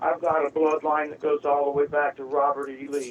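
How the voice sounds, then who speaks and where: A man with an American accent and a fairly high voice, over noticeable background noise. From Tampa, Florida (US South). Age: 60s. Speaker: caller. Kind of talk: call-in talk.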